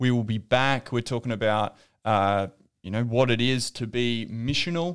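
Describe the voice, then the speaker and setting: Ordinary pitch variation runs through a man's moderate-paced speech. It is a very clean recording against a silent background. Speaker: podcast host. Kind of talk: casual chat.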